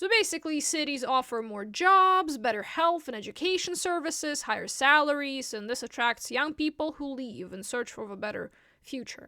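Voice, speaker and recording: A raised, projected female voice, high in pitch, with very wide pitch swings and big swings in loudness. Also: moderate pace, hardly any pauses. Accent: Russian. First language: Russian. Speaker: vlogger. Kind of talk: casual explainer monologue.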